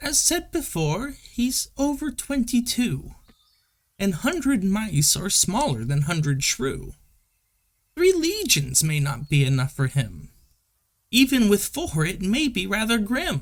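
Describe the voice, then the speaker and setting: A man speaks at a fairly slow pace in a put-on character voice, high-pitched and swinging very widely in pitch. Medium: read story.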